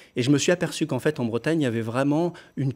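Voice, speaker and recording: The pitch variation is ordinary. The speaker is a man. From France, Lyon; France. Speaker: pop singer; interviewee. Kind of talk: TV interview. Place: studio.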